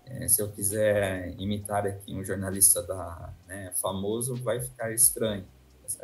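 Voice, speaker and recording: A man with a Brazilian interior accent speaks at a fairly slow pace with ordinary pitch variation. Room echo is audible. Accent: caipira (rural Brazilian interior). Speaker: university professor. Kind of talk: interview. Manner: hesitant, many fillers.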